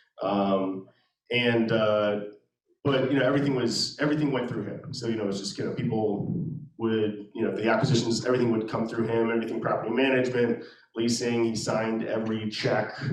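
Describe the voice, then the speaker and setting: Amid audible room echo, a man with a medium pitch speaks at a fairly quick pace with fairly even intonation. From Maryland, Anne Arundel County. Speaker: real estate investor. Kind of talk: interview at a meetup. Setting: meetup with live audience. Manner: halting, many fillers.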